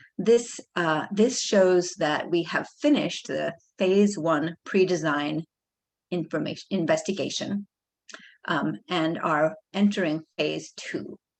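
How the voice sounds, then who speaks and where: Speaking at a very slow pace, a woman uses a fairly low pitch with ordinary pitch variation and vocal fry. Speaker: government project manager. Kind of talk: presentation. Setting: video call.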